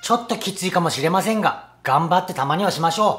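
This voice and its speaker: Light background noise behind a man speaking. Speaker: personal trainer. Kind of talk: fitness tutorial intro. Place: gym. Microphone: phone near.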